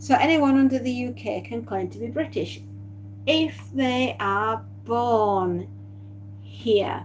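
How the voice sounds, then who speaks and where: A woman with a strong Yorkshire accent speaks at a very slow pace, with long, frequent pauses, big swings in loudness and audible room echo. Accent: deep Yorkshire. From Yorkshire, northern England. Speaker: live streamer. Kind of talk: casual chat. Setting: live stream. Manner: halting.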